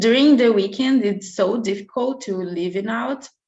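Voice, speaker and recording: A woman with a Brazilian Portuguese accent and lively intonation. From Brazil, Curitiba. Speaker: au pair applicant. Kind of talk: job interview. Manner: halting.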